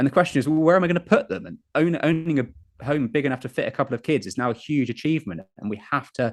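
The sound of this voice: With ordinary pitch variation, a man speaks quickly.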